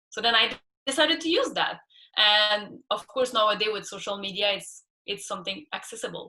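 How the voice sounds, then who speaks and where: A woman with a Quebec accent speaks at a fairly quick pace and a medium pitch. Her tone is bright and sharp, and her intonation is lively. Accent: French Canadian accent in English. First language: French. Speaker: scuba instructor and ocean activist. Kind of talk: interview.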